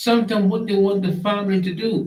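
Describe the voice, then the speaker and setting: This man, with a Trinidadian accent, has a fairly high pitch and a somewhat breathy sound. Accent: Trinidad and Tobago Creole English. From Tobago, Trinidad and Tobago. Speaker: online show host. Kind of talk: live stream monologue. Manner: animated.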